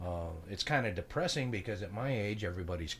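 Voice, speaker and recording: Somewhat breathy, a man talks at a fairly low pitch with ordinary pitch variation. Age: 60s. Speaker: podcast co-host. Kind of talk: casual chat.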